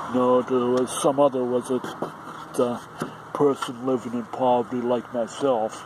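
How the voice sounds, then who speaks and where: A man talks at a fairly slow pace with monotone, flat intonation. The sound is dry with no echo, but there is noticeable background noise. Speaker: vlogger. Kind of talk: casual vlog chat. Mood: frustrated, complaining. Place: street. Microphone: phone near.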